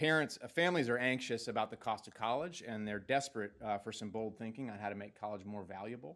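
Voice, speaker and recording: In a very clean recording with a silent background, a man with a New England accent talks very fast at medium pitch, with ordinary pitch variation. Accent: Yankee. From New Jersey. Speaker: higher education policy expert, incoming system official. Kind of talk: presentation to a board. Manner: many fillers and repetitions.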